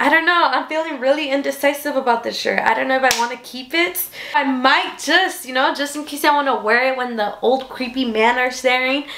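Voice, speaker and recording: With a raised, projected voice, a woman talks at a fairly quick pace with ordinary pitch variation and hardly any pauses. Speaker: haul vlogger. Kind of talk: casual vlog chat. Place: home room. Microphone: camera far.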